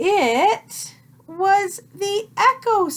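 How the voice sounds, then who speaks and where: Putting on a character voice, a woman speaks at an extremely high pitch in a gentle tone, her pitch swinging very widely. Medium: read story. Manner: gentle, patient.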